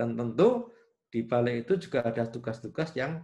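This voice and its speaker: A man at medium pitch with vocal fry, lively intonation and a moderate pace. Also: quiet background. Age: 60s. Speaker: engineering professor. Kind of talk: interview. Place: home room. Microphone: video call.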